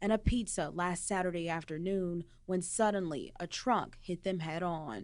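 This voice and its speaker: A woman talks in an ordinary speaking voice at a medium pitch. Her intonation is fairly even. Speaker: television journalist, news anchor and field reporter. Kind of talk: TV news script read.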